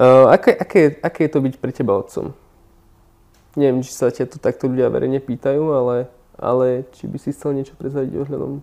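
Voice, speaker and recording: The recording is very clean, with a silent background. A man with a fairly high pitch and a dark, mellow tone speaks at a moderate pace. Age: young. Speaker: interviewer. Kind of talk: interview.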